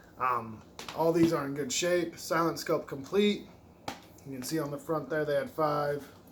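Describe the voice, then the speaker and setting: At a moderate pace, a man speaks in a fairly high pitch with ordinary pitch variation, amid noticeable background noise and audible room echo. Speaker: retro game collector YouTuber. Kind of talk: casual video game haul show-and-tell.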